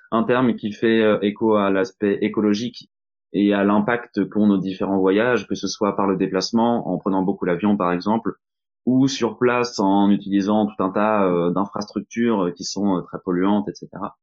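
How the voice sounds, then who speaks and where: Monotone, flat intonation at a moderate pace. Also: man, fairly low pitch for a man. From Normandy, France. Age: 30s. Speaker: employee of an energy transition association. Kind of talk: podcast interview.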